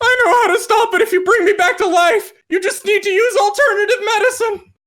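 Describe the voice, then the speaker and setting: Someone performs a put-on character voice at an extremely high pitch, with a dramatic tone and a fairly quick pace. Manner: ghostly, dramatic.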